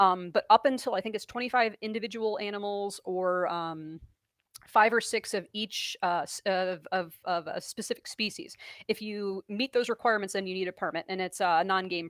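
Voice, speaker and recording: Recorded with a dry, close sound and no echo, a woman with a medium pitch speaks with an American accent and ordinary pitch variation. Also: very clean recording, silent background. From New York. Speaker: reptile keeper and former geology teacher. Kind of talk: live stream Q&A. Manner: fast; halting.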